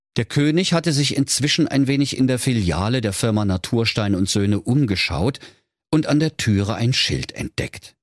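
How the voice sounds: Here is a natural reading voice over a quiet background.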